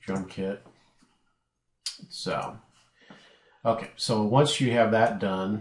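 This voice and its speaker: A man speaks very slowly at a fairly low pitch, with fairly even intonation and long, frequent pauses. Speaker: software tutorial maker. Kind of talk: tutorial. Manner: casual, many fillers.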